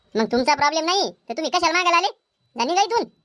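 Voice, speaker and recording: A woman uses a squeaky, cartoonish character voice at an extremely high pitch. She talks at a fairly quick pace with very wide pitch swings. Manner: brash, quarrelsome.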